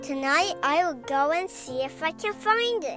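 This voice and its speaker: Clear music plays in the background as a woman performs a put-on character voice. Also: moderate pace. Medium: read story. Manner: wondering, wistful.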